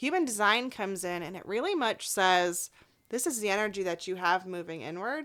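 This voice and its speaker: Loud, animated speech with lively intonation at a fairly quick pace on a very clean recording with a silent background. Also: woman, medium pitch for a woman. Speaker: life coach. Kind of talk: podcast interview.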